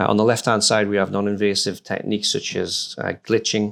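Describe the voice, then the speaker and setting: A man speaks at a moderate pace in a northern English accent. The recording is very clean, with a silent background. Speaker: hardware security researcher. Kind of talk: conference talk. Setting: stage with audience. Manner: halting, many fillers.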